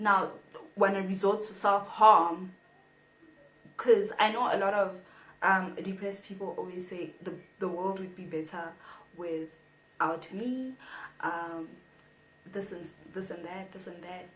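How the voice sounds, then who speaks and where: A woman speaks at a fairly slow pace and medium pitch, with fairly even intonation, big swings in loudness and long, frequent pauses. Audible room echo surrounds her voice. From South Africa. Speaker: YouTuber. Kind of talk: casual vlog talk to camera.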